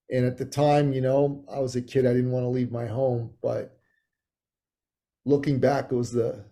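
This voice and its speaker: A man talks at a fairly quick pace in a medium pitch, his dark, mellow tone somewhat breathy and his intonation flat and monotone. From Iran, left as a child, raised in Canada. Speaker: author and business coach. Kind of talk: interview.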